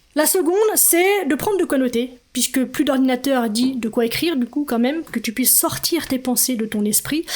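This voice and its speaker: A woman's high voice with lively intonation, very even loudness and hardly any pauses, over noticeable background noise. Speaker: podcast host and life coach. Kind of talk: solo podcast talk. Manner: fast.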